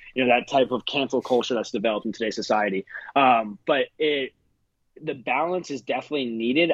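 A man's plain, everyday voice at a moderate pace, with ordinary pitch variation and a dry, close sound with no echo. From US Northeast. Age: 20s. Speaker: paintball player. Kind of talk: casual chat.

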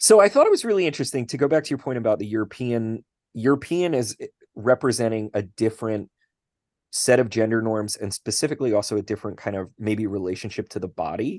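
Against a quiet background, a man talks at a very fast pace with ordinary pitch variation and a dry, close sound with no echo. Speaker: literature professor and podcast co-host. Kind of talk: casual chat. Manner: halting, many fillers.

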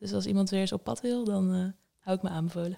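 A woman speaks at medium pitch with flat, monotone intonation and a dark, mellow tone. The recording is very clean, with a silent background. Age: 20s. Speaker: copywriter and translator. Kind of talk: interview. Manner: hesitant, many fillers.

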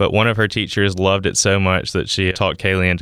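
A man speaks in a Southern US accent with a very deep, low pitch and a bright, sharp tone. His intonation is monotone and flat, and the sound is dry and close with no echo. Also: very clean recording, silent background. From US South, Mississippi. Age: 20s. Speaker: startup founder, engineer. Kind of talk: interview.

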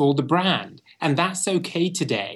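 Speaking at a fairly slow pace, a man with a British accent shows ordinary pitch variation. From England (Bristol). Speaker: branding expert and author. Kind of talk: interview. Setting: remote from London.

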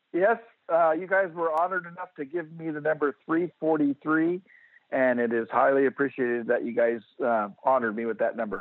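Talking fairly quickly in an American accent, a man has a plain, everyday voice. His pitch is fairly high, with lively intonation. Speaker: retired firefighter and fan. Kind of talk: casual interview.

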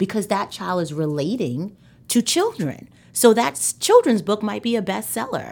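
A woman with a medium-pitched voice and vocal fry swings her pitch very widely as she talks. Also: moderate pace. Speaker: author and motivational speaker. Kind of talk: casual interview chat.

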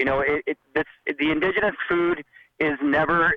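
A man with a Canadian accent speaks in a plain, everyday voice. His pace is fairly quick. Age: 40s. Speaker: chef. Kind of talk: interview.

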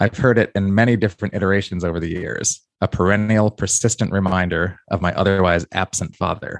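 In a dry, close sound with no echo and a quiet background, a man with a plain, everyday voice and fairly low pitch speaks at a fairly quick pace with fairly even intonation. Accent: American. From New York. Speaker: author and music industry figure. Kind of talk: interview, with a reading from his memoir.

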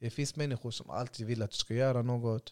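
On a very clean recording with a silent background, a man with an unremarkable speaking voice talks at medium pitch in fairly even intonation. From Sweden (Gothenburg, Hammarkullen). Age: 20s. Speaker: youth centre founder. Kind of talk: casual interview.

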